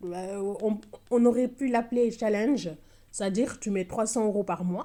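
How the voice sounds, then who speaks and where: A woman speaks with a Senegalese accent. Her medium-pitched voice has a dark, mellow tone. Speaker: budgeting vlogger, single mother. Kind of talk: casual vlog tutorial. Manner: hesitant, many fillers.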